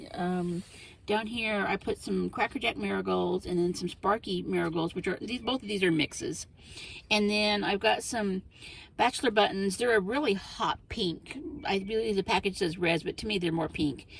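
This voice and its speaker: A woman speaks at medium pitch and a moderate pace, relaxed in tone, with ordinary pitch variation. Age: 50s. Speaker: gardening vlogger. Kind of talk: casual chat. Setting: in a greenhouse. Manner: relaxed, hesitant with fillers.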